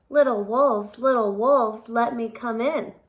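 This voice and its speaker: A woman puts on a character voice at a fairly high pitch. She keeps a moderate pace. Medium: read story. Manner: menacing.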